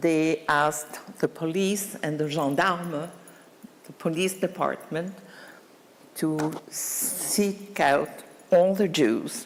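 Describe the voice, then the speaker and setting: Over noticeable background noise, a woman speaks very slowly, with long, frequent pauses and big swings in loudness. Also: fairly low pitch for a woman, ordinary pitch variation. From France. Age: 80s+. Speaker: Holocaust survivor. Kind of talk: testimony. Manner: halting.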